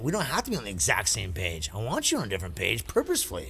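There's audible room echo around this man. He talks at a very fast pace. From Canyon Lake area. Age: 40s. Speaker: cannabis industry worker. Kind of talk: casual chat.

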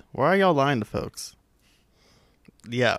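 A man speaks with a fairly high pitch and lively intonation. The sound is dry and close, with no echo. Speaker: podcast co-host. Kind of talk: casual chat. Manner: animated.

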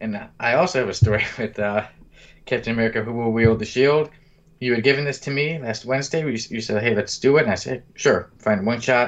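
A normal speaking voice from a man, medium in pitch, with ordinary pitch variation. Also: fairly quick pace. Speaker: podcast host. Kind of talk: casual chat.

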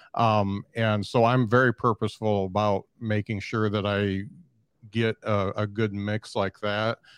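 A man's fairly low voice, fairly slow and monotone, with flat intonation, dry and close with no echo, over a quiet background. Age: 50s. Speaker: podcaster. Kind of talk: casual chat. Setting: video call.

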